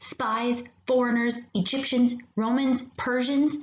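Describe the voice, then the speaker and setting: A woman puts on a character voice with a high pitch. Her delivery is monotone and flat at a fairly slow pace. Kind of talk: bedtime story. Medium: read story. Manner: gruff, old-fashioned speech.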